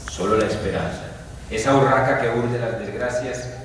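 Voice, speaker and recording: Strong room echo and light background noise surround a man speaking at a fairly low pitch. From Colombia. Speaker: poet. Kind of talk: poetry reading. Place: hall. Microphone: camera far.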